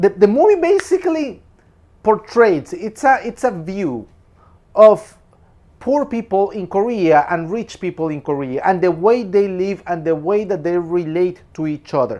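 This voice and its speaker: A man with a Spanish accent speaks at a fairly slow pace in a high pitch with lively intonation. His tone is dark and mellow, and the background is quiet. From Peru. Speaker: film commentator. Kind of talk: film review monologue. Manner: casual, with repetitions and restarts.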